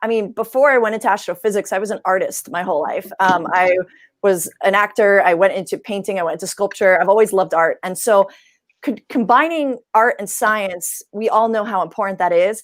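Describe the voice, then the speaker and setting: A woman's animated, medium-pitched voice in an American accent, with ordinary pitch variation and a fairly quick pace, on a very clean recording with a silent background. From New York. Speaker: science communicator. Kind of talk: panel discussion.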